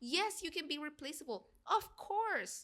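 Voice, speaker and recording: In a Spanish accent, a woman speaks at a fairly slow pace with a bright, sharp tone and very wide pitch swings. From Guatemala. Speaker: actress and singer. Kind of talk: casual chat. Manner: halting, searching for words.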